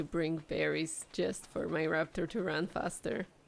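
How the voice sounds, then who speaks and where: A woman speaks with vocal fry. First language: not English (language with gendered nouns ending in A or O). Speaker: video game streamer. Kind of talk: gameplay commentary. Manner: animated.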